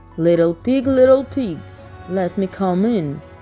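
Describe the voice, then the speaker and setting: Over clear background music, a woman puts on a menacing character voice at medium pitch and a fairly slow pace. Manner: menacing, coaxing.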